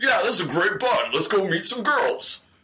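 A man puts on a character voice pitched extremely high. He projects it loudly at a moderate pace. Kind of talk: casual. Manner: bro-ish, hearty.

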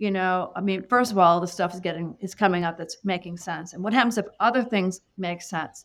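A normal speaking voice. The intonation stays fairly even. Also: woman. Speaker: psychic medium. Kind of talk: casual chat.

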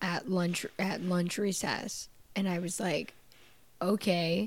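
Music plays behind a woman speaking at a fairly slow pace. Her pitch is medium. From Canada. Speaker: podcast host. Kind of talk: casual comedic interview chat. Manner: animated, joking.

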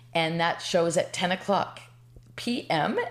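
Noticeable noise sits behind speech that proceeds fairly slowly. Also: woman. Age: 60s. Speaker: comedian and storyteller. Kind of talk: storytelling. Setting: on a couch in host's apartment.

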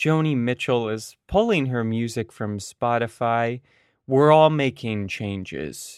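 A man with an unremarkable speaking voice talks at a fairly slow pace, medium in pitch with ordinary pitch variation. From Ontario, Canada (Oakville, Toronto suburb). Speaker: podcast host. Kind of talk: scripted introduction; casual chat. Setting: video call.

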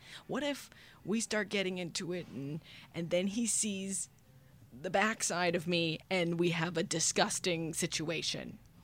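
A woman with a fairly low pitch speaks at a fairly slow pace, with ordinary pitch variation. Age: 20s. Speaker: comedy podcast host. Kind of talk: casual chat. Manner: animated.

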